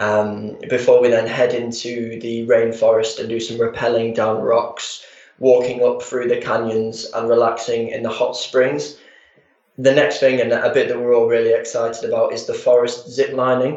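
A man with a Yorkshire accent at a moderate pace. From Harrogate, Yorkshire, England. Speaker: public relations executive. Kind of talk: radio interview.

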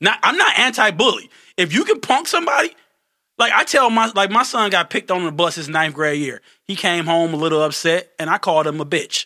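A man's bright, sharp, high-pitched voice at a fairly quick pace, on a very clean recording with a silent background. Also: lively intonation. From Detroit, US. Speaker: real estate investor and entertainer. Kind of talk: casual chat.

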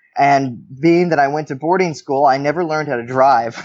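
Speaking with an American accent, a man uses a fairly high pitch and fairly even intonation at a moderate pace. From US West Coast, southern Oregon. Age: 20s. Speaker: jazz saxophonist and bandleader. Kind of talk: interview conversation.

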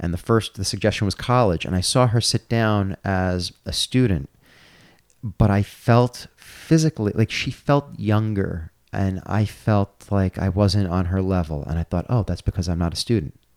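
In a dry, close recording with no echo, a man with an American accent uses a normal speaking voice at a fairly low pitch, a moderate pace and ordinary pitch variation. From New York, Brooklyn. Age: 40s. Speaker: comedian and gutter business owner. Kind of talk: casual chat.

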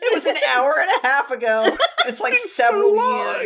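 A woman with an extremely high pitch and very wide pitch swings speaks at a fairly quick pace over noticeable background noise. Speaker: podcast co-host. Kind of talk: casual, joking banter.

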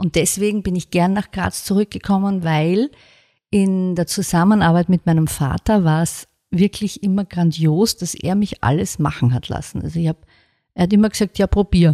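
The recording is dry and close, with no echo. A woman speaks in a dark, mellow tone at a fairly low pitch. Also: ordinary pitch variation, moderate pace, very clean recording, silent background. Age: 50s. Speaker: book publisher. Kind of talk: interview.

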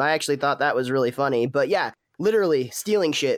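A man with an ordinary speaking voice, fairly high in pitch and fairly quick in pace, on a very clean recording with a silent background. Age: 30s. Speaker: podcast host reviewing TV episodes. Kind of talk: casual chat.

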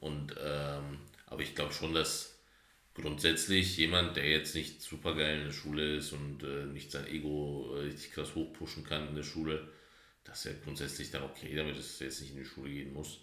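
Over noticeable background noise and audible room echo, a man talks at a moderate pace. His pitch is very deep and low, and his intonation is monotone and flat. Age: 30s. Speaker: podcast co-host. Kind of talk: casual chat.

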